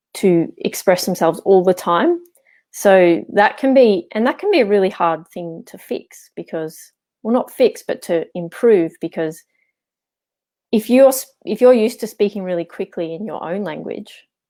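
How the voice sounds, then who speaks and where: A woman's medium-pitched, dark, mellow voice with an Australian accent, lively intonation, big swings in loudness and a moderate pace, on a very clean recording with a silent background. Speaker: architect and English teacher. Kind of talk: interview. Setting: live video stream.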